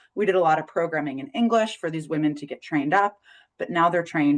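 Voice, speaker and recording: Very fast and very deep, a woman with an American accent talks with ordinary pitch variation. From United States. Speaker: parenting educator and webinar presenter. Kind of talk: webinar presentation. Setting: online webinar.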